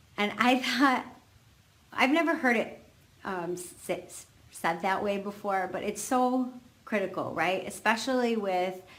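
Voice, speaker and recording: In a room with audible echo, a woman of medium pitch speaks at a fairly slow pace, leaving long, frequent pauses. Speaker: fertility coach and yoga teacher. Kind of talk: live video talk. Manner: hesitant, many fillers.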